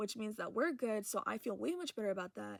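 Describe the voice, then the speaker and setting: Fairly high in pitch, a woman talks at a moderate pace. The recording is very clean and silent, with a dry, close sound and no echo. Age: young. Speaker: vlogger. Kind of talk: casual chat. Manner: animated.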